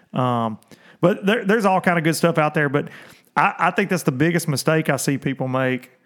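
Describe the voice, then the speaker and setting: With an ordinary speaking voice, a man speaks at a fairly quick pace, pitched fairly high with lively intonation. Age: 30s. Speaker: professional bass fishing angler and livestream host. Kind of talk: casual livestream chat. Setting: livestream on video and social media.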